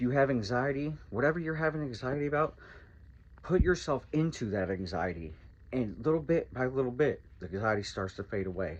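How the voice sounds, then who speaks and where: A man speaks loudly at a medium pitch. His pitch swings very widely, and his pace is fairly quick. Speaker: recovery vlogger. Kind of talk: motivational monologue.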